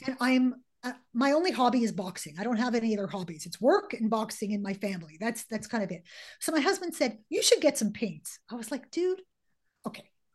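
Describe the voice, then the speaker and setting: The background stays quiet as a woman speaks at a fairly quick pace. Her pitch swings very widely. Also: fairly high pitch for a woman. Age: 50s. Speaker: author and coach. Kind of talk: casual interview. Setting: podcast interview. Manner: fast.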